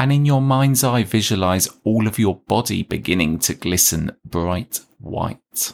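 A man's plain, everyday voice, fairly low and fairly slow, with lively intonation, very even loudness and hardly any pauses, on a very clean recording with a silent background. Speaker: podcast host and meditation guide. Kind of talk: guided meditation; casual chat intro. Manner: slow, soothing, calm and gentle; soft-spoken, hushed, measured pacing with pauses.

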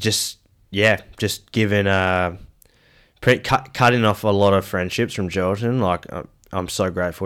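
A man with an Australian accent and a very deep, low pitch, at a moderate pace with fairly even intonation, on a very clean recording with a silent background. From Western Australia, Perth. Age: 30s. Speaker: former aspiring footballer. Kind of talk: casual chat.

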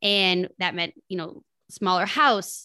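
Bright, sharp tones from a woman, with quiet all around. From Minnesota, small town. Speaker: entrepreneur and podcast host. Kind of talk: podcast interview.

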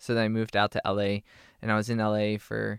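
A man talks at a moderate pace with a medium pitch. The recording is very clean with a silent background, the sound dry and close with no echo. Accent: American. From Pennsylvania (Harrisburg). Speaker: youth motivational speaker. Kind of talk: casual interview.

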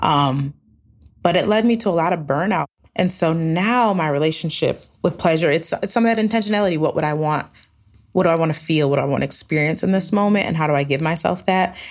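A woman with an American accent speaks at a very fast pace in a fairly low voice with ordinary pitch variation. Her loudness stays very even. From upstate New York. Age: 30s. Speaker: travel company founder, former nonprofit leader. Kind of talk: storytelling interview.

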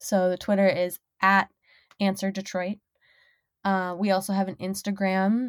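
Recorded very cleanly against a silent background, with dry, close sound and no echo, a woman speaks at a fairly slow pace and medium pitch with an American accent and monotone, flat intonation. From Minnesota, US. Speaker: sex worker and podcast host. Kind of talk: casual interview chat.

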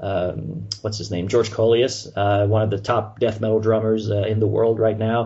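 Somewhat breathy and fairly low-pitched, a man with a French Canadian accent talks at a moderate pace in a monotone, flat intonation. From Montreal, Canada. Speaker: radio show host, metal music fan.

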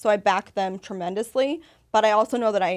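In an ordinary speaking voice with an American accent, a woman talks at a fairly quick pace with fairly high pitch and ordinary pitch variation, on a very clean recording with a silent background. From Las Vegas, US. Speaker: women's empowerment group founder. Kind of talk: casual chat.

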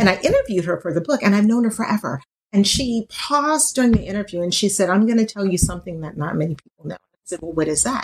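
A woman with a medium pitch talks at a very fast pace with hardly any pauses, sounding somewhat breathy. Her intonation is lively, and her loudness swings widely. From Louisiana. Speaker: author. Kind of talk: casual chat.

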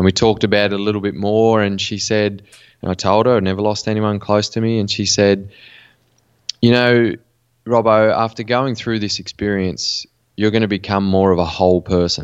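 Flat and monotone, a man with an Australian accent talks at a moderate pace. His pitch sits fairly low. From Western New South Wales, Australia. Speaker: mental performance coach. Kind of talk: interview.

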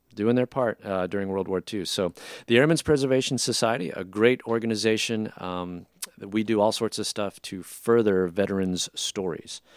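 A man talks at a moderate pace and a fairly low pitch, with ordinary pitch variation in a plain, everyday voice. The very clean recording has a silent background and a dry, close sound with no echo. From Filipino-American family. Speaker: jazz band leader and musician. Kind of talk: casual interview chat.

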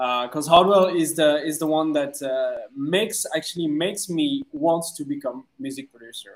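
Here a man talks with a French accent at a moderate pace. His voice is high, with ordinary pitch variation. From France. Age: 30s. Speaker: DJ and music producer. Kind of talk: casual interview. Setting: video call. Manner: halting.

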